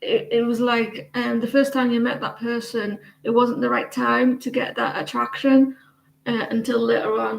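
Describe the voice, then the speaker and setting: A woman with an English accent at a moderate pace. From England. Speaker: tarot reader. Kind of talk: casual chat. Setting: live stream. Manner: halting.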